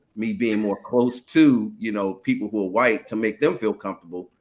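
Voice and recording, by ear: This man talks at a moderate pace in a fairly low pitch with a fairly bright tone.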